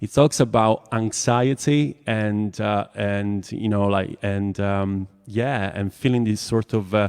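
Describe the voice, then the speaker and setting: Fairly low in pitch, a man with an Italian accent speaks very slowly with fairly even intonation. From Italy. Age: 40s. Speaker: songwriter. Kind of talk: casual chat. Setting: live stream. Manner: halting.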